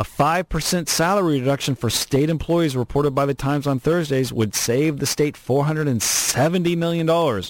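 In an ordinary speaking voice, a man with a fairly high pitch talks at a moderate pace, the sound dry and close with no echo. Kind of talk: angry rant.

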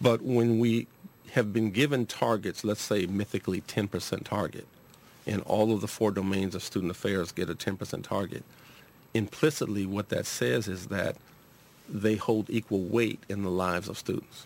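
Pitched fairly low, a man with an unremarkable speaking voice talks with an American accent and ordinary pitch variation. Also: moderate pace. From Los Angeles, Southern California. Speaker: university administrator and psychology professor. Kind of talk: radio interview. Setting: radio studio.

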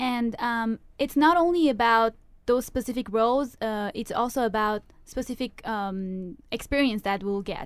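Here a woman speaks with a non-native accent. Her pitch is fairly high and her pace fairly slow. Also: ordinary pitch variation, very clean recording, silent background. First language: not English. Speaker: university student, club vice president. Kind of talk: radio interview. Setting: radio studio. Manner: hesitant, many fillers.

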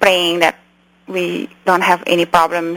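Fairly low-pitched woman in a Cambodian accent at a fairly slow pace, dry and close with no echo, over noticeable background noise. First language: Khmer. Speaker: memoir author, doctor, refugee. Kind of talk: interview, personal storytelling.

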